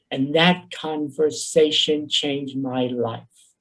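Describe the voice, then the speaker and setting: With a New York accent, a man speaks at a fairly high pitch and fairly even intonation. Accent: New York Bronx. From New York, the Bronx. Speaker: professor, workshop presenter. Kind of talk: conference workshop presentation. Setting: virtual conference, video call.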